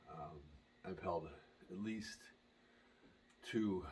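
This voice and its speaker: A man speaks quietly. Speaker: pickleball player and brand advocate. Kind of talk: unboxing video. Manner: quiet, hushed.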